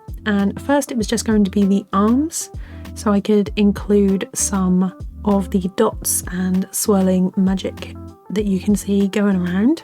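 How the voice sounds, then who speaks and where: A woman's medium-pitched voice at a fairly slow pace, ordinary pitch variation and very even loudness, with music in the background. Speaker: animator. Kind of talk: software tutorial walkthrough.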